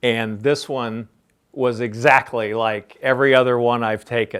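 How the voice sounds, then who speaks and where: Monotone, flat delivery from a man with an American accent, medium pitch, fairly slow pace. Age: 60s. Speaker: business founder and CEO. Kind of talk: interview Q&A for a class.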